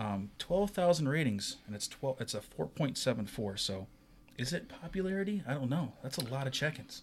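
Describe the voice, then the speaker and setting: A man with a medium pitch and a somewhat breathy voice talks at a moderate pace, his pitch swinging very widely. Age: young. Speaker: podcast co-host. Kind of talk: casual chat.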